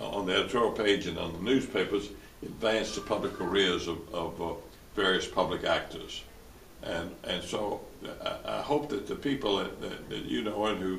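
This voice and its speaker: A man with a Tennessee accent talks at a moderate pace amid noticeable background noise and audible room echo. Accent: US Southern (Tennessee). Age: 80s+. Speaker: lawyer and former newspaper publisher. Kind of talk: interview. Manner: halting, many repetitions and fillers.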